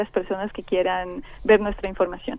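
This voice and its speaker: A woman with a Colombian accent at a moderate pace. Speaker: scientist. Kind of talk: interview. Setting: phone call.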